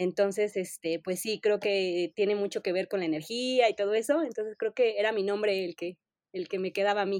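A woman with a Mexico City accent speaks at a moderate pace and medium pitch, her pitch varying in an ordinary way, in a dry, close sound with no echo. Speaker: information architect. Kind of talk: interview. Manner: hesitant, many fillers.

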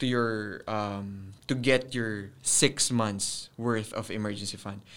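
Heard on a very clean recording with a silent background, a man speaks with a Filipino accent. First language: Tagalog. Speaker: personal finance podcaster. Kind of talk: casual solo podcast monologue.

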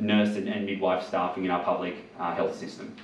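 Noticeable background noise is present. A man speaks with fairly low pitch. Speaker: nurse and union delegate. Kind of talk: rally speech to a pub audience. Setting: live pub event with audience. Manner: earnest, persuasive; hesitant, filler-heavy.

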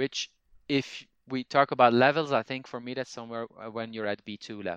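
Recorded in a dry, close sound with no echo and a quiet background, a man with a Flemish accent speaks with fairly even intonation. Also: medium pitch for a man, moderate pace, big swings in loudness. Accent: Flemish Dutch-accented English. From Belgium (Flanders). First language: Dutch (Flemish). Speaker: language teacher and podcaster. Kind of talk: interview conversation. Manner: halting, frequent fillers.

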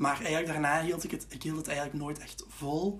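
A man with a Flemish accent speaks at a fairly high pitch with fairly even intonation. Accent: Flemish Dutch. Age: 20s. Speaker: student teacher, podcast co-host. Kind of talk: casual advice chat.

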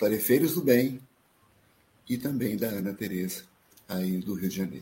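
In a dark, mellow, somewhat breathy tone, a man speaks fairly slowly with ordinary pitch variation. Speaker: live stream host. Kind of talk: live stream hosting.

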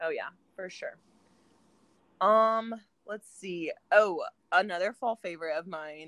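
A woman with a medium pitch and a slight Midwestern US accent speaks in a bright, sharp, animated tone, with long, frequent pauses and big swings in loudness, in a dry, close sound with no echo. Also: ordinary pitch variation. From US Midwest. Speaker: podcast host. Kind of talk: casual chat. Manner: chatty, animated.

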